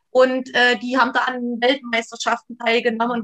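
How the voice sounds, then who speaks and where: A woman with a high-pitched voice speaks at a moderate pace in a dry, close sound with no echo. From East Germany, near Leipzig. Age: 40s. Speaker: trauma therapist. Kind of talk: interview about life story. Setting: video call.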